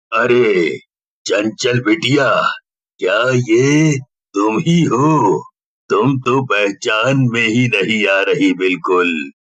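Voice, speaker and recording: A man puts on a character voice at a medium pitch. He speaks very slowly, with lively intonation. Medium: read story.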